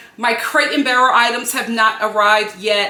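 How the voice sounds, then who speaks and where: With an American accent and an animated tone, a woman speaks at a fairly high pitch amid audible room echo and noticeable background noise. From Philadelphia, US. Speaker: home and lifestyle vlogger. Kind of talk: product haul video. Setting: home studio.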